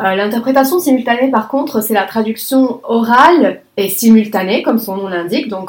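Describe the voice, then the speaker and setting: A woman with an Arabic accent, fairly high pitch, lively intonation and a fairly slow pace. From Lebanon. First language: Arabic (speaking French). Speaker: conference interpreter. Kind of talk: interview.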